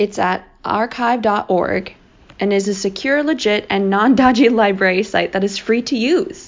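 A woman talks at a fairly slow pace, her pitch fairly high. Hers is a plain, everyday voice. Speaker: podcast co-host. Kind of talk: casual chat. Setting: recorded in the morning.

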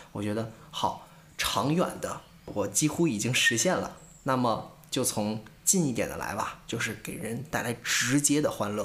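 Audible room echo carries the medium-pitched voice of a man speaking with ordinary pitch variation. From northern China, Tangshan, Hebei. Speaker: podcast co-host, amateur stand-up comedian. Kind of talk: casual chat.

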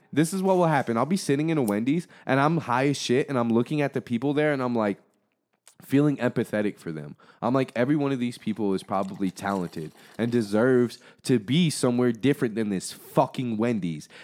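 On a very clean recording with a silent background, a man talks at a very fast pace. His medium-pitched voice has lively intonation. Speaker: creator, rapper, podcaster. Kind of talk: casual chat. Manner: casual, profane, jokey.

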